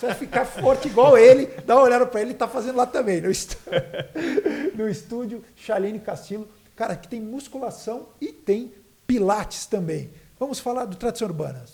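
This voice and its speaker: Animated male voice, extremely high-pitched, at a fairly quick pace, with ordinary pitch variation, big swings in loudness and noticeable background noise. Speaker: podcast host. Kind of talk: sponsor reads in casual chat.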